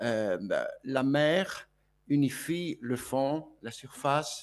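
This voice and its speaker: A man's voice with a Greek accent. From Greece (Volos). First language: Greek (speaking French). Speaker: speaker at a conference. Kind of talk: conference speech. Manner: hesitant, many fillers and repetitions.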